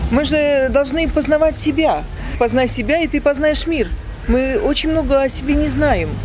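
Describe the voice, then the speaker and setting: Noticeable background noise and audible room echo accompany a woman with a high pitch. She talks at a moderate pace with very even loudness and fairly even intonation. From Belarus, Gomel. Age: old. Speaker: street interview respondent, pensioner. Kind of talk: street interview. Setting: outdoors in a park.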